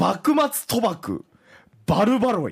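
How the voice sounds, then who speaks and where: A put-on character voice delivers its lines in a theatrical tone at a fairly high pitch. The pace is fairly slow. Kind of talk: historical, dramatic storytelling tone.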